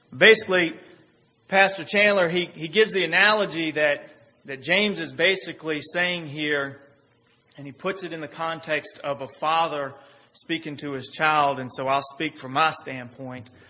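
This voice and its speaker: A man with an ordinary speaking voice, fairly high pitch, ordinary pitch variation, a moderate pace and big swings in loudness. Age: 30s. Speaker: pastor. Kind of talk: sermon. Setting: church.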